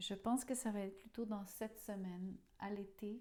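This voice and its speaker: With a dark, mellow tone, a woman of medium pitch speaks at a fairly slow pace in a monotone, flat intonation. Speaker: tarot reader. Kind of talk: tarot reading monologue. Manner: halting, with fillers.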